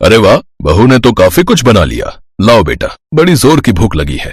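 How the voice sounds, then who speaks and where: A man's put-on character voice at a medium pitch and a fairly quick pace. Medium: read story.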